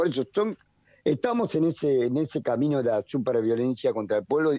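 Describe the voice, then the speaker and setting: A man at a fairly quick pace, dark and mellow in tone, with lively intonation and very even loudness, the sound dry and close with no echo against a quiet background. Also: medium pitch for a man. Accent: Rioplatense. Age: 70s. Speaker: economist. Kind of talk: radio interview.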